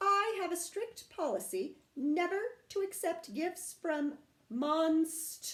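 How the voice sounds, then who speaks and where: A woman's gruff, put-on character voice, extremely high in pitch, with ordinary pitch variation and a very slow pace. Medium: read story. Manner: gruff, grumbling.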